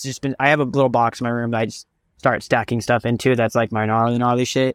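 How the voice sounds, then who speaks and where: Very fast and fairly even in intonation, a man speaks at a medium pitch. The sound is dry and close with no echo, on a very clean recording with a silent background. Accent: American. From Southern California. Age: 20s. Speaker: vintage clothing picker. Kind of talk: casual interview chat.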